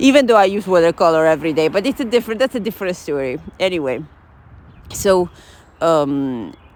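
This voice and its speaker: Speaking at a fairly quick pace with an Italian accent, a woman uses a fairly low pitch with very wide pitch swings and long, frequent pauses. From Italy. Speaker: journaling vlogger. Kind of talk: casual chat. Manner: hesitant, with fillers.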